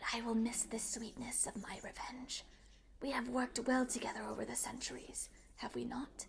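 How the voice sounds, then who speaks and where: A woman whispers in a put-on character voice with a hissing sound. Her pace is moderate. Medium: read story. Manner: imperious, mocking.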